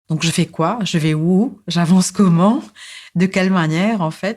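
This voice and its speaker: The recording is very clean, with a silent background. A woman speaks with a fairly low pitch and fairly even intonation. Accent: Mauritian. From Mauritius. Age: 40s. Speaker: psychosociologist and social activist. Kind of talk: podcast interview, personal life story. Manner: hesitant, many fillers and repetitions.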